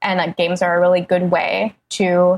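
A woman speaks at a medium pitch with vocal fry. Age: 20s. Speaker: freelance writer and critic. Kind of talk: casual chat.

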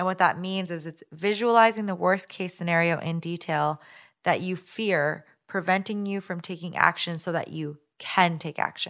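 In an American accent, a woman with an unremarkable speaking voice talks at a moderate pace, fairly low in pitch, with fairly even intonation. The recording is very clean, with a silent background. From Minnesota, US Midwest. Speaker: guest co-host. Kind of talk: casual chat.

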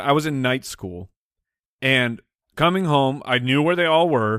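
A man's fairly high voice at a moderate pace. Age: 30s. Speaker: podcast co-host. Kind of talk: casual chat.

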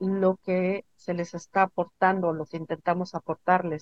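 Recorded dry and close with no echo, a woman speaks at a medium pitch and a fairly slow pace. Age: 50s. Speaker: spiritual healer. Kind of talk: interview.

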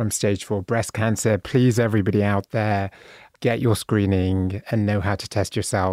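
Dry and close with no echo, this recording has a man with a British accent talking at a fairly low pitch with fairly even intonation. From Bristol, England. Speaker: author and speaker. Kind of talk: casual interview chat.

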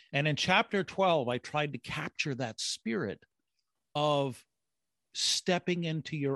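In a dry, close sound with no echo and a quiet background, a man speaks at a fairly slow pace. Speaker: brand strategist and author. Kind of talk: interview. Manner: animated; halting with repetitions.

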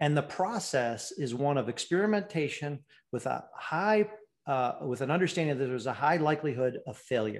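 Here a man speaks at a moderate pace. His fairly high voice has lively intonation. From US Midwest, Michigan (Ann Arbor). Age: 50s. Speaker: business professor and former Marine. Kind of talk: interview conversation. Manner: halting, many repetitions.

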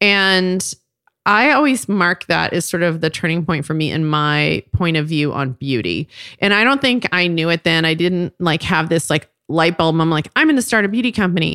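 A bright, sharp voice with an American accent at very even loudness, on a very clean recording with a silent background, dry and close with no echo. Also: woman, lively intonation, moderate pace. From Texas, Fort Worth. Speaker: cosmetics company co-founder. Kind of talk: interview storytelling.

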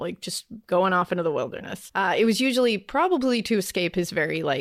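This is a woman speaking. She has a New England accent. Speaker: true crime podcaster. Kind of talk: storytelling.

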